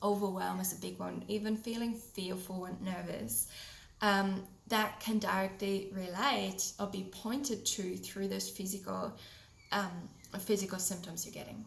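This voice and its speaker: With a German accent, a woman speaks at a fairly slow pace amid noticeable background noise and audible room echo. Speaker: podcast host, holistic health coach. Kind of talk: solo podcast talk.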